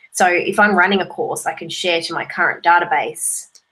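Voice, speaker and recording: An unremarkable speaking voice, a woman talks at a moderate pace with fairly even intonation. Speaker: online course creator and social media educator. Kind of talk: solo video tutorial.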